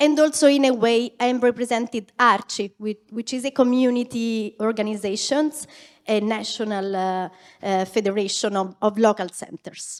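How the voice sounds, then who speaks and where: The voice has an Italian accent and ordinary pitch variation. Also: woman, fairly high pitch for a woman, moderate pace, very clean recording, silent background. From Italy, Rome. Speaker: NGO representative, panelist. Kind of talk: panel discussion.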